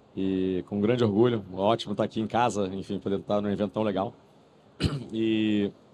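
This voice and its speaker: Speaking at a moderate pace, a man with a fairly low pitch and a dark, mellow tone keeps a monotone, flat intonation. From Brazil, Rio de Janeiro. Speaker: crypto asset manager CEO. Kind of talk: live panel discussion. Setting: stage with audience at a conference stand.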